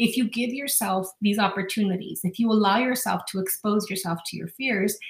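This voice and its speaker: A woman's ordinary speaking voice, an ordinary speaking voice at medium pitch, at a fairly quick pace. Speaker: life coach podcaster. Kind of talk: guided visualization; self-help talk. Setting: solo podcast. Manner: warm, encouraging.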